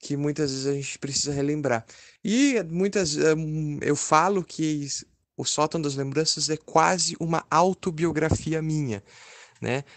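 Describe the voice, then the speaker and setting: A man speaks in a normal speaking voice, pitched fairly high, with ordinary pitch variation. The background is quiet. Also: fairly slow pace. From southern Brazil, Caxias do Sul (Rio Grande do Sul). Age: 20s. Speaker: author and journalism student. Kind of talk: interview.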